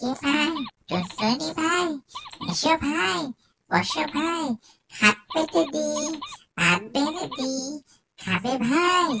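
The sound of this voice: This cartoonish character voice sounds female, pitched high for a woman and delivered at a fairly slow pace.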